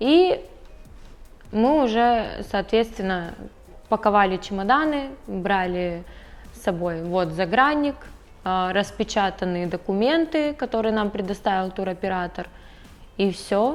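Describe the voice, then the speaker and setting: A woman at medium pitch with lively intonation, speaking at a very slow pace with long, frequent pauses. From Siberia, Russia (Krasnoyarsk). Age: 20s. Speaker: immigrant telling her story. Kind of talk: interview. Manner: hesitant, with fillers.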